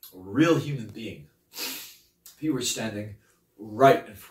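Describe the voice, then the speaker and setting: A man's voice with ordinary pitch variation and audible room echo. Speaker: actor performing a monologue. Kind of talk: dramatic acting monologue. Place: empty room.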